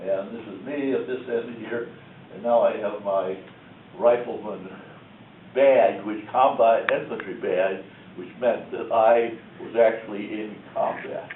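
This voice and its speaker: A man speaking at a fairly slow pace amid audible room echo, with big swings in loudness and long, frequent pauses. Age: 90s. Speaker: war veteran. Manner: halting.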